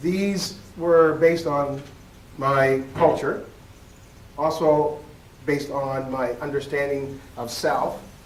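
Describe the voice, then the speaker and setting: Over noticeable background noise, the speech goes at a very slow pace with fairly even intonation and long, frequent pauses. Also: man, fairly high pitch for a man. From Nova Scotia, Canada. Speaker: educator and keynote speaker. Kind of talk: conference keynote speech. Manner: storytelling, conversational.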